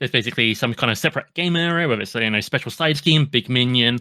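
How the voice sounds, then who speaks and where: With a British accent, a man speaks at a medium pitch in a bright, sharp tone with lively intonation. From UK. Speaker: podcast host. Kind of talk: casual chat.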